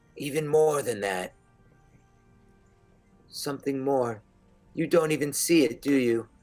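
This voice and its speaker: Over faint background music, a man uses a put-on character voice at a fairly high pitch and a fairly slow pace, with long, frequent pauses. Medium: actual play.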